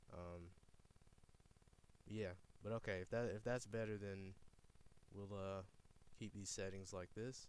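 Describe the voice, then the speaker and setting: A man speaks at a fairly slow pace in a fairly low voice, his intonation flat and monotone, with long, frequent pauses. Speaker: streamer reacting to recorded phone calls. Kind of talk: live stream commentary. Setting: live stream.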